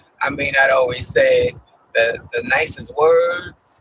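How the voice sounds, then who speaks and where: A man with an American accent. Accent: Brooklyn, comes and goes. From Brooklyn, New York. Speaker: property management association president. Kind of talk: live stream monologue while driving. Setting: in a car. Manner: hesitant, many fillers.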